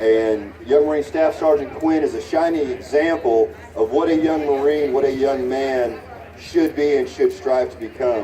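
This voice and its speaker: A man's fairly high-pitched voice with an American accent, with audible room echo and noticeable background noise. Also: ordinary pitch variation, moderate pace. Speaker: youth program leader. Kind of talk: award ceremony speech. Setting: stage with audience, PA system. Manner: loud.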